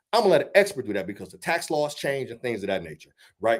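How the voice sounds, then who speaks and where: A man's animated tone with vocal fry and very wide pitch swings. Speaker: financial educator. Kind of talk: church seminar talk. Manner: loud.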